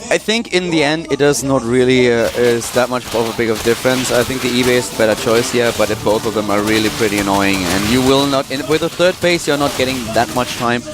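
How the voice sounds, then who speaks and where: Over noticeable background noise, a man with a non-native accent speaks fairly quickly at a medium pitch. He uses ordinary pitch variation and hardly any pauses. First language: not English. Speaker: esports commentator. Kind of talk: live commentary.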